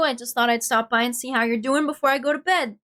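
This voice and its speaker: In a raised, projected voice, a woman speaks at a fairly quick pace, the sound dry and close with no echo. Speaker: VTuber streamer. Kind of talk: casual chat. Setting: livestream. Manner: animated.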